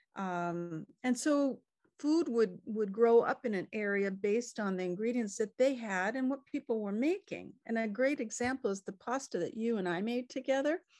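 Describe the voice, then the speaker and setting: With an American accent, a woman in a plain, everyday voice speaks at a moderate pace and fairly high pitch with lively intonation, the sound dry and close with no echo over a quiet background. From California. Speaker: cookbook author and chef. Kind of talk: casual interview chat. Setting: video call.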